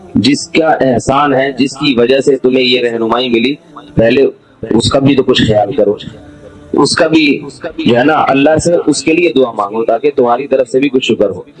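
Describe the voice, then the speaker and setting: Music plays in the background while the speaker talks with fairly even intonation. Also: man, medium pitch for a man. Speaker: Islamic scholar giving a religious lecture. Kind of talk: Islamic sermon (bayan) delivered to an audience. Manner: explanatory, asks the audience rhetorical questions.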